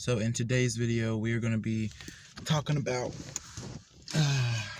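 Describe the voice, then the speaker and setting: Fairly even intonation from a man at medium pitch, moderate in pace, amid noticeable background noise. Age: 20s. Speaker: gamer and spiritual vlogger. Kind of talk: casual vlog talk to camera.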